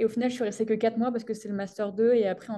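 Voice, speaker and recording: The woman's voice has a dark, mellow tone. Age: 20s. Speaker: sports science PhD student. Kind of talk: interview. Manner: hesitant, many fillers.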